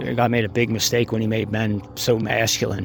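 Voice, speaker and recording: A man's medium-pitched voice with an American accent comes through noticeable background noise. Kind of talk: opinion monologue. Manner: halting, many fillers.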